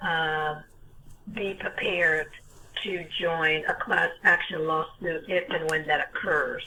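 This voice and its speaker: Very slow female speech in an American accent, with music in the background. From US Northeast, North Jersey. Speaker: caller on a legal self-help video meeting. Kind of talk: casual chat. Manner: halting, many fillers.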